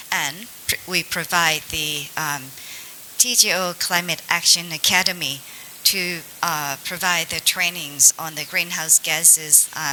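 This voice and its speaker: Over noticeable background noise, a woman with a Thai accent speaks at a fairly slow pace in a fairly low pitch with fairly even intonation. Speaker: government agency representative. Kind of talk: panel discussion. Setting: seminar panel in hotel.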